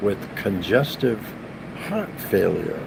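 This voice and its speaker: Speaking at a very slow pace, a man is heard with audible room echo and noticeable background noise. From Massachusetts, New England. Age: 60s. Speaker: youtuber. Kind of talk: casual live stream monologue. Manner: halting, many fillers.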